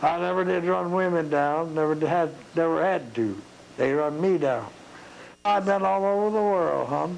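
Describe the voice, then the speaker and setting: Here a man speaks with a high pitch and ordinary pitch variation. His pace is moderate and his loudness very even. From East Tennessee. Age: 80s+. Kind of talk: interview answer.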